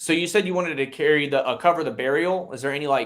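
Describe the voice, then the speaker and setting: Very fast delivery from a man, pitch varying in an ordinary way. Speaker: insurance sales trainer. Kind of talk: sales call role-play; tutorial. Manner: plain, simple speech in character.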